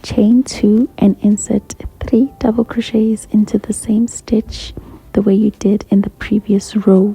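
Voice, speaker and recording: A whisper, fairly slow, with noticeable background noise behind it. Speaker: crochet tutorial creator. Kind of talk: tutorial. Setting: library. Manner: whispering on and off.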